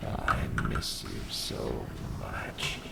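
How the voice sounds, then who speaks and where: A man puts on a raspy character voice against loud background noise. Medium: read story. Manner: uncanny, mimicking, luring.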